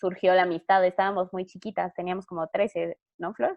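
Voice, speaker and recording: A woman speaks with a Mexican accent. Her pitch sits in the medium range. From Mexico. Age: 20s. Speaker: novelist. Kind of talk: interview.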